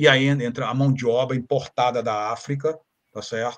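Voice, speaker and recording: At medium pitch and a moderate pace, a man talks in an ordinary speaking voice. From Rio de Janeiro, Brazil. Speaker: historian. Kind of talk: interview, historical lecture.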